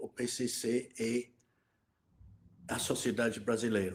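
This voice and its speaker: A man speaks at a very slow pace. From Scotland. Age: 70s. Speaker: financial crime expert. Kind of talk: interview. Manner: halting.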